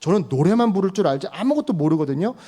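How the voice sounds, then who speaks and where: An animated man's voice, high-pitched with very wide pitch swings, at a fairly quick pace on a very clean recording with a silent background. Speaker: pastor. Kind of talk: sermon. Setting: church. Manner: conversational, animated.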